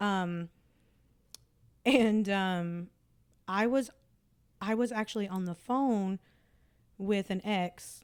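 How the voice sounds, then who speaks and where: A woman with a Southern US accent speaks at a very slow pace, with medium pitch and ordinary pitch variation. Long, frequent pauses break up her speech on a very clean recording with a silent background. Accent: Southern rural accent, noticeable. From Tennessee. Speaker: podcast host. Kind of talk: casual chat. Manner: many fillers and restarts.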